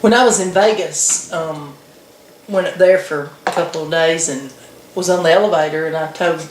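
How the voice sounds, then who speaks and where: Noticeable background noise runs through the clip. Audible room echo is present as well. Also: woman. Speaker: video blogger. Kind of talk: casual chat.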